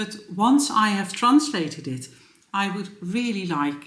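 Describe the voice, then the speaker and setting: Very slow speech in a Dutch accent, with audible room echo. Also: woman. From Netherlands. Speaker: knitting vlogger and yarn shop owner. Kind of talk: casual vlog. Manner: hesitant, many fillers.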